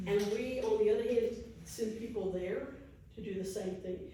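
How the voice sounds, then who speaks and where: A woman with a Texas accent talks at a fairly high pitch with ordinary pitch variation. The room echo is audible and there is noticeable background noise. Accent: Texas accent, self-described as bad. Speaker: educator and travel speaker. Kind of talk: audience Q&A at a public talk. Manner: hesitant, many fillers.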